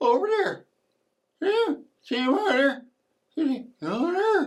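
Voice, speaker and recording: Putting on a character voice, a man swings his pitch very widely up and down. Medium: solo performance. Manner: repetitive, insistent pointing.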